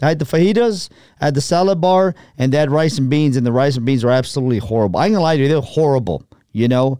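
Very fast male speech at a fairly high pitch, with a dark, mellow tone, lively intonation and very even loudness. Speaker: sports radio host. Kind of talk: casual chat. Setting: studio.

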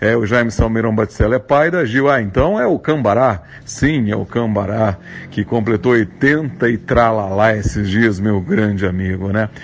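A man speaks at a fairly low pitch with ordinary pitch variation over noticeable background noise. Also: moderate pace. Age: 40s. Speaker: actor and announcer. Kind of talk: recorded guest segment.

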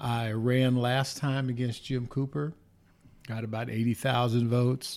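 The man's medium-pitched voice moves at a fairly slow pace with monotone, flat intonation. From Los Angeles, California. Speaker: political candidate. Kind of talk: interview. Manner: halting.

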